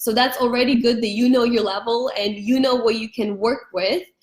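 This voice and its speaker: This woman's voice sits at a high pitch. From Ukraine. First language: Ukrainian and Russian. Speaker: education consultant. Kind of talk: live stream talk. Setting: Facebook live stream. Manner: slow, clear pace.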